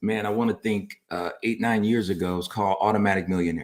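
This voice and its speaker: At a moderate pace, a man talks in a normal speaking voice, fairly low in pitch with fairly even intonation. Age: 50s. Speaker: pastor and family talk show co-host. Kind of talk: casual chat on personal finance.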